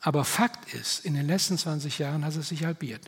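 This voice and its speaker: This man has a high-pitched voice and speaks at a fairly slow pace. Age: 70s. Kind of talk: talk at church event.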